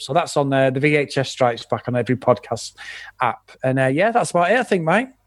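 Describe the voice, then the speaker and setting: With an English accent, a man at medium pitch talks at a very fast pace with ordinary pitch variation, in a very clean recording with a silent background. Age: 40s. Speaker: podcast host and film fan. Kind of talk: casual chat.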